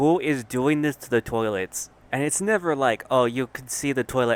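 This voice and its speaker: The delivery is animated and fairly quick. The sound is dry and close, with no echo. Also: man. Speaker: commentary youtuber. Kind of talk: comedic rant. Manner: soft-spoken.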